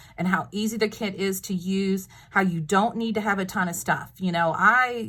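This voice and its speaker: A woman with a Texas accent speaks at a moderate pace in a bright, sharp tone, her medium pitch showing ordinary variation. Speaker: craft video maker. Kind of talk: tutorial. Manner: casual, chatty with fillers.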